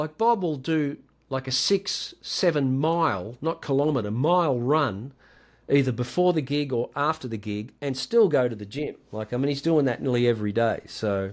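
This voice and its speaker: In a very clean recording against a silent background, a man talks with lively intonation. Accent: Australian. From Australia, rural Victoria. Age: 60s. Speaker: guitarist. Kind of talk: podcast interview.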